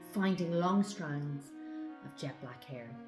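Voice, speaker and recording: Music plays in the background as a woman speaks. She has an Irish accent and a fairly slow pace. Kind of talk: poetry reading.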